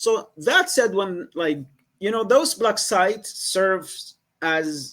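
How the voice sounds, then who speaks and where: A man speaks in a high pitch with a Yemeni accent. His pitch swings very widely. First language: Arabic. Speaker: former Guantanamo detainee, writer, advocate. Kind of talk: podcast interview answer.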